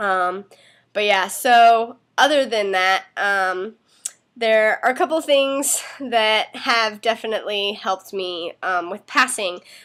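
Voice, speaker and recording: Very slowly, a woman speaks at a fairly high pitch with ordinary pitch variation. The recording is very clean, its background silent. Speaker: vlogger giving tips. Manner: casual, frequent filler words.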